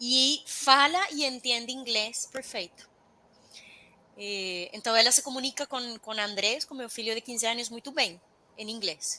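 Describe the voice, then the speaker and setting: A woman speaks with a Spanish accent and ordinary pitch variation. Her loudness swings widely. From Venezuela. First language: Spanish (speaking Portuguese). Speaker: intercultural expert. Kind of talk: interview.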